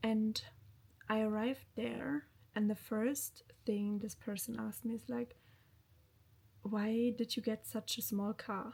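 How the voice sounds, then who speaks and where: With long, frequent pauses, a woman speaks at a fairly slow pace in a somewhat breathy, fairly high voice with fairly even intonation. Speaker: lifestyle vlogger. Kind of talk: casual vlog talk to camera.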